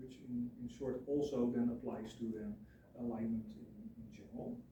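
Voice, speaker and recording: The speech shows ordinary pitch variation, with audible room echo. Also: man. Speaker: student teacher. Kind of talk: presentation. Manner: mumbling at sentence ends; halting.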